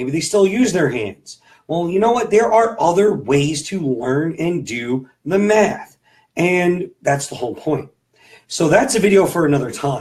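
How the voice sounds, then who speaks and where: A man talks at a fairly slow pace in a high pitch, his voice swinging very widely up and down. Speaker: sixth grade math teacher. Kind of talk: tutorial. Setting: home. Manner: casual, halting with fillers.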